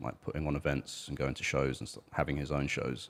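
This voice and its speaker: A man with a British accent speaks with vocal fry. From Britain. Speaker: musician and podcast co-host. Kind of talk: casual chat.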